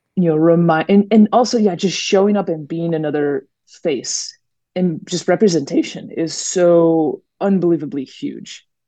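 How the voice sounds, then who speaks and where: A woman speaks in an American accent at a moderate pace, her pitch fairly low. Her tone is dark and mellow, with ordinary pitch variation. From US Midwest, Minneapolis-Saint Paul suburbs. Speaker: long-distance winter hiker. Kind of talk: interview.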